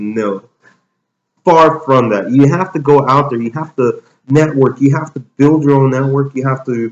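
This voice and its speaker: A man with a plain, everyday voice, fairly high pitch, lively intonation and moderate pace. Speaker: real estate agent. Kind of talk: interview answer.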